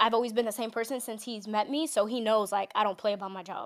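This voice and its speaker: A woman speaks with a New York accent at a fairly high pitch. Her intonation is fairly even, and the recording is very clean with a silent background. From New York City, Manhattan. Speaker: entertainment journalist and TV host. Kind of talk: casual interview. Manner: fast talker.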